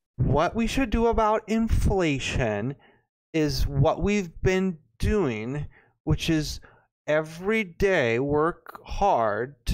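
Very wide pitch swings mark a man's high voice, delivered at a very slow pace with very even loudness. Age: 20s. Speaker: podcast co-host. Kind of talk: casual chat. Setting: studio.

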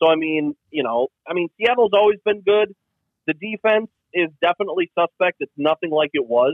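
This man speaks with an American accent. His pitch is high, with lively intonation. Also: moderate pace. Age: 40s. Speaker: sports podcast co-host. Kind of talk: casual chat. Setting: phone call from home.

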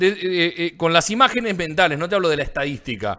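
Lively in intonation, a man speaks in a high-pitched voice. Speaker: basketball podcast host. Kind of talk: casual sports chat.

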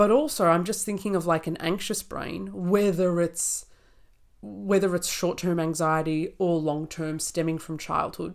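Speaking with an Australian accent, a woman has a fairly low pitch and ordinary pitch variation. The recording is very clean, with a silent background. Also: fairly slow pace. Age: 20s. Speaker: naturopath podcast co-host. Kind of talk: casual chat.

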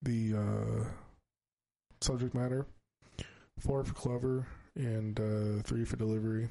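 A man speaks fairly slowly in a dark, mellow tone at a medium pitch, with fairly even intonation. His loudness stays very even, broken by long, frequent pauses. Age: 20s. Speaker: podcast host and band musician. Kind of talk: casual chat.

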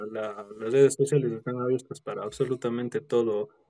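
A man's dark, mellow tone comes through as he speaks at a fairly quick pace. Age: 20s. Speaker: dog groomer and prosthetics maker. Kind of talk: casual interview.

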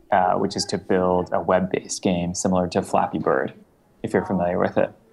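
There is noticeable background noise as a man speaks in a very deep, low pitch. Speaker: education startup founder. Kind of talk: interview. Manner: halting, many fillers.

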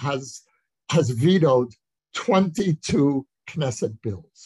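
This man has a fairly high pitch and an American accent, speaking at a very slow pace. His somewhat breathy voice has lively intonation, and the sound is dry and close with no echo. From USA. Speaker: author and lecturer. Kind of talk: interview on Zoom. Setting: video call.

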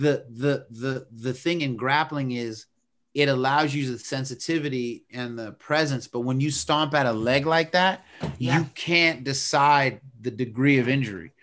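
A man with an unremarkable speaking voice talks fairly slowly at medium pitch, with ordinary pitch variation. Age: 50s. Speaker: podcast co-host, martial arts analyst. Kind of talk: casual chat.

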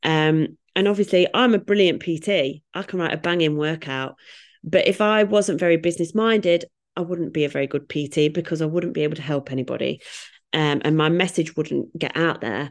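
Someone with a British accent speaks at a fairly quick pace with ordinary pitch variation against a quiet background. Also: woman, fairly low pitch for a woman. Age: 30s. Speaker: fitness coach. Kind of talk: casual chat. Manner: animated.

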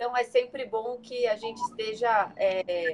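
Her pitch is high, and this woman's voice shows ordinary pitch variation. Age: 30s. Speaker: image consultant and personal stylist. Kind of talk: casual interview on a live stream.

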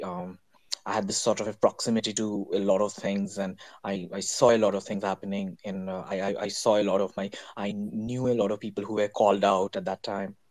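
A man's fairly low voice at a fairly quick pace. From India. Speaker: fashion designer and artist. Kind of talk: artist presentation. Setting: online audio space.

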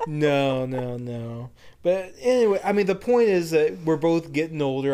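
Using a plain, everyday voice, a man with an American accent speaks at a moderate pace and fairly high pitch, with lively intonation. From United States. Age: 30s. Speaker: podcast co-host. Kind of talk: casual chat.

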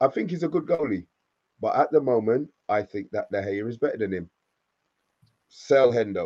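A man's dark, mellow voice at medium pitch, moderate pace, with long, frequent pauses. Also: lively intonation. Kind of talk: heated debate. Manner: angry, ranting, swearing, loud and scornful.

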